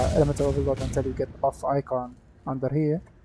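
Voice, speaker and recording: A voice with a non-native accent speaks at a fairly quick pace over music in the background. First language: not English. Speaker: video game content creator. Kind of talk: gameplay tutorial. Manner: halting.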